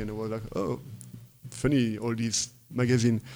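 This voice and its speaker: With a French accent, a man of medium pitch and dark, mellow tone speaks at a moderate pace with fairly even intonation. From northern France, Lille. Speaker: techno producer and DJ. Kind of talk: interview. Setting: at host's home. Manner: halting.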